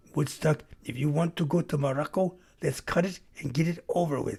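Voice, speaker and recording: Using a put-on character voice, a man speaks at a fairly quick pace with a fairly high pitch. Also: fairly even intonation. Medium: read story. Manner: practical, brisk.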